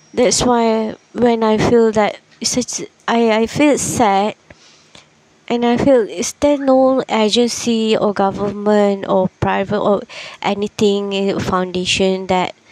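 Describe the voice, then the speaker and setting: With a dry, close sound and no echo, a woman speaks at a very slow pace and with fairly even intonation over noticeable background noise. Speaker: podcaster. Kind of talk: casual podcast monologue. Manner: slow, many pauses.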